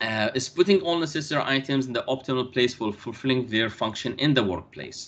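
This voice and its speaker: A man of medium pitch with an Arabic accent, at a moderate pace, with very wide pitch swings and a bright, sharp tone. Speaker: university lecturer. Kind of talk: lecture. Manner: halting.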